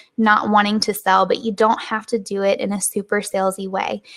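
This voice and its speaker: A woman with a Southern US accent, at a moderate pace. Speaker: web designer and online business host. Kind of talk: live webinar. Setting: live video stream. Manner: informal.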